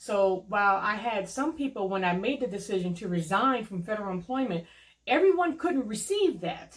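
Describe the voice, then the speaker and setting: Speaking with an American accent, a woman has a medium pitch, a somewhat breathy quality, lively intonation and a moderate pace. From US Midwest (Cleveland, Ohio). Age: 40s. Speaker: lawyer. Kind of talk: casual interview.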